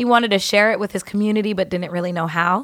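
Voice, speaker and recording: A woman with an American accent, medium in pitch, animated and bright, sharp in tone, in a very clean recording with a silent background. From San Diego, California. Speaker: singer-songwriter. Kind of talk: casual chat. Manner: animated, laughing often.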